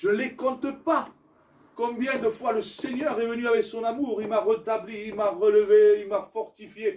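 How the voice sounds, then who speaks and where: A man speaks at a fairly slow pace in an extremely high pitch, with noticeable background noise behind him. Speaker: pastor. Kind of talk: sermon. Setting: church. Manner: loud; animated.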